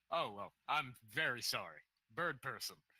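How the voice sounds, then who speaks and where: A man speaks in a put-on character voice. His pace is moderate. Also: fairly high pitch for a man. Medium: actual play. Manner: easygoing, polite.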